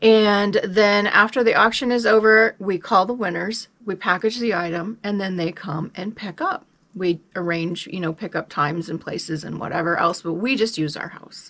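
A woman's medium-pitched voice with an American accent, at a moderate pace with hardly any pauses, ordinary pitch variation and big swings in loudness. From US Midwest (Lincoln, Nebraska); Nebraska. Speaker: reseller, video channel co-host. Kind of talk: casual chat. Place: home room. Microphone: phone near.

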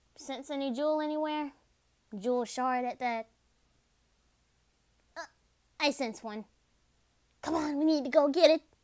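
In a put-on character voice, a female-sounding speaker with a high pitch goes at a moderate pace, leaving long, frequent pauses. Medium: solo performance. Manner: brash, sarcastic, quick to insult.

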